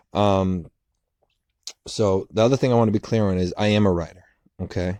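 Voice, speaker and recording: The sound is dry and close, with no echo, as a man speaks with an American accent. He talks at a fairly quick pace, with fairly low pitch and fairly even intonation. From Boston, US. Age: 30s. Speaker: writer and storyteller youtuber. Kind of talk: casual storytime monologue. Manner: unscripted, hesitant with fillers and repetitions.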